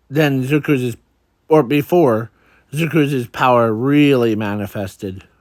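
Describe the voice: Quiet background behind plain reading aloud, its pitch varying in an ordinary way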